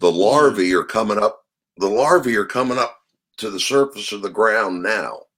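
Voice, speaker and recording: A man with an American accent and a normal speaking voice talks at a moderate pace and medium pitch, with ordinary pitch variation. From Maryland, US. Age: 50s. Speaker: trapper and game fowl keeper. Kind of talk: casual interview.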